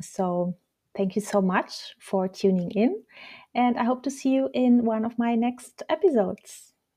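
A woman's somewhat breathy, fairly high voice, fairly slow in pace, with lively intonation. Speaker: podcast host and coach. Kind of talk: guided meditation, calm and soothing, spoken slowly with pauses. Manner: slow, soft-spoken, gentle and hypnotic pacing; soothing, deliberate, reassuring guiding tone.

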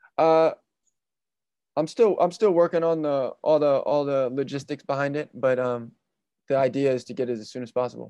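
A dark, mellow tone with a West Coast accent, broken by long, frequent pauses. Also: man, fairly high pitch for a man, ordinary pitch variation, moderate pace. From California. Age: 20s. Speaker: basketball player. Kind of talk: interview.

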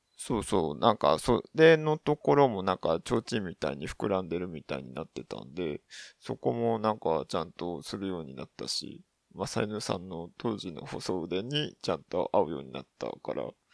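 On a very clean recording with a silent background and a dry, close sound with no echo, a man with a very deep, low voice and vocal fry speaks at a moderate pace, with very wide pitch swings and big swings in loudness. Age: 30s. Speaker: podcast host. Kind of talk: casual solo monologue. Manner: halting, many fillers.

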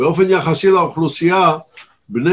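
A man with a high-pitched voice speaks at a fairly slow pace. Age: 70s. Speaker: news commentator. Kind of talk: interview. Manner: smooth, expressive delivery.

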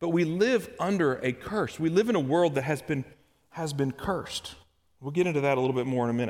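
A man with a Kentucky accent, fairly high pitch, lively intonation and a fairly quick pace, in a very clean recording with a silent background. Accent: Kentucky Southern US. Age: 30s. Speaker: church elder, lay preacher. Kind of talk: sermon. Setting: church service. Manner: halting, repeats words.

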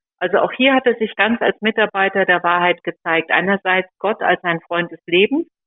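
A woman speaks in a normal speaking voice at a medium pitch and a moderate pace. Her pitch varies in an ordinary way. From Sauerland, western Germany. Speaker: leader of a pro-life association. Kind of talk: interview.

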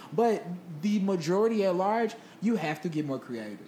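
Someone talks at a moderate pace with ordinary pitch variation. Noticeable noise runs in the background. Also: woman. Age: 20s. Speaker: podcast co-host. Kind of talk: casual chat.

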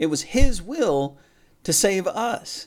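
A very clean recording with a silent background, with lively intonation. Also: man. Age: 40s. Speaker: pastor. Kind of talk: sermon. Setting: hotel room. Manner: halting.

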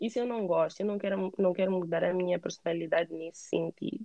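Using an ordinary speaking voice, a woman talks at medium pitch and a moderate pace with fairly even intonation. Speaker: emigrant interviewee. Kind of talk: casual interview. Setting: call.

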